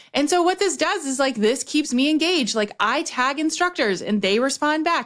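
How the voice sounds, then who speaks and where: In a very clean recording with a silent background, a woman speaks with lively intonation. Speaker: business strategist and podcast host. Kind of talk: casual podcast monologue. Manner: fast when excited.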